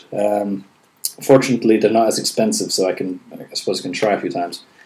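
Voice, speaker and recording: Noticeable background noise sits behind a man with a fairly low pitch. He speaks at a moderate pace with fairly even intonation. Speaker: webcomic artist and video blogger. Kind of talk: casual video blog. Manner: halting, many pauses and fillers.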